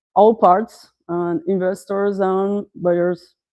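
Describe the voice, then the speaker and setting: A woman with a Portuguese accent speaks very slowly in a dark, mellow, medium-pitched voice with fairly even intonation. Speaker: startup founder. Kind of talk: pitch presentation. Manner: halting, many fillers.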